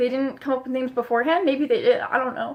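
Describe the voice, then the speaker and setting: A woman mumbles in a high voice. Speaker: vlogger. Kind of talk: casual vlog monologue. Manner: mumbling; casual, filler-heavy.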